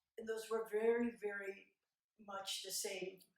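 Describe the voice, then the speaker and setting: The voice is a woman's. An audible room echo surrounds it. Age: 70s. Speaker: abuse survivor and advocate. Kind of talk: talk at a conference. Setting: stage with audience. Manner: halting.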